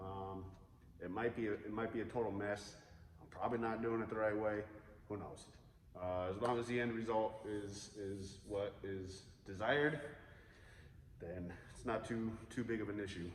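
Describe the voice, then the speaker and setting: Amid noticeable background noise and audible room echo, a man speaks at a fairly low pitch with fairly even intonation and long, frequent pauses. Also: moderate pace. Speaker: guitar builder. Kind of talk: tutorial. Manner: casual with many fillers.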